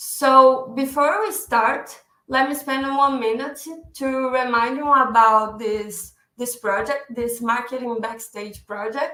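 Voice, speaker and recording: At a very slow pace, a woman speaks with high pitch, a bright, sharp tone and ordinary pitch variation. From Brazil. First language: Portuguese. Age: 20s. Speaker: digital marketing specialist. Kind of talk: webinar presentation. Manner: halting, with self-corrections.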